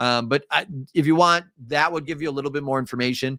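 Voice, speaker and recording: Here a man talks with a Midwestern accent in a fairly high pitch. His pace is fairly quick, with ordinary pitch variation. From US Midwest. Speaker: teacher. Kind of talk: live review lecture. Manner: casual, filler-heavy.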